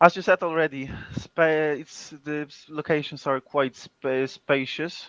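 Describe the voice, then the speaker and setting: This speaker talks at a fairly slow pace in a Polish accent. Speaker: game tournament co-commentator. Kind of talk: live commentary. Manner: halting, searching for words.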